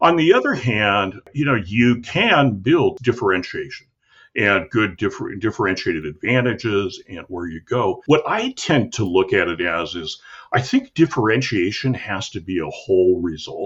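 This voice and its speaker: A man's medium-pitched, unremarkable speaking voice with lively intonation at a moderate pace. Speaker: marketing podcast host. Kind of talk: casual conversation about marketing.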